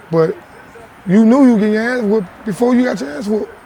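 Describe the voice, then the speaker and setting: A man speaks at a moderate pace with ordinary pitch variation, and there is noticeable background noise. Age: 30s. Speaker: interviewee. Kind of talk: casual chat.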